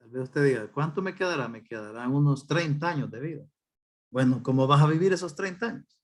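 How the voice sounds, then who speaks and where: A man with an unremarkable speaking voice talks at a fairly quick pace, with lively intonation and big swings in loudness. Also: fairly high pitch for a man. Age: 60s. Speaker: pastor. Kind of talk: sermon.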